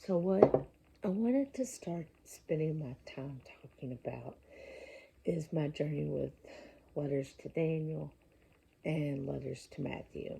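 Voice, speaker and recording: A quiet woman at a fairly slow pace, with big swings in loudness and long, frequent pauses. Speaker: independent filmmaker. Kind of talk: casual talk to camera. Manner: lowered voice, quiet; halting.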